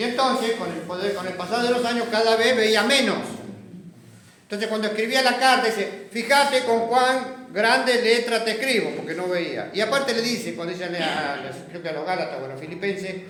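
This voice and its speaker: A man with a high pitch speaks at a moderate pace with ordinary pitch variation. Audible room echo and noticeable background noise surround him. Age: 70s. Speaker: Bible study teacher. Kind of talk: Bible class discussion.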